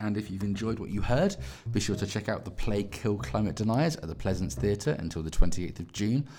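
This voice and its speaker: Vocal fry marks this man's fairly low voice, dark and mellow in tone. He speaks at a fairly quick pace. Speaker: theatre podcast host. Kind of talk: scripted outro. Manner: mumbling.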